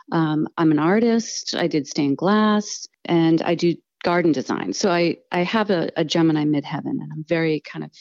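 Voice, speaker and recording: Over a quiet background, a woman with a fairly low voice talks at a moderate pace with ordinary pitch variation, the sound dry and close with no echo. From US Northeast. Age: 50s. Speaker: astrologer. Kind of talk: interview. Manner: hesitant, many fillers.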